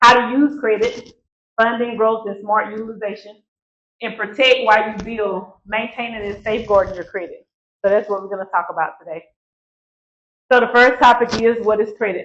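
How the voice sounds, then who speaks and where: A woman with an Alabama accent talks at a fairly quick pace and a fairly high pitch, her intonation fairly even, broken by long, frequent pauses. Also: big swings in loudness. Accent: Southern US (Alabama). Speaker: credit educator, nonprofit CEO, former bank manager. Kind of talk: workshop presentation. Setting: live event with audience. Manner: fast.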